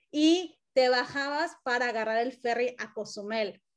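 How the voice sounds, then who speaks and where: A woman with a high pitch speaks fairly slowly, with ordinary pitch variation. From Cancún, Mexico. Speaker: podcast host, marketing consultant. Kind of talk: interview conversation.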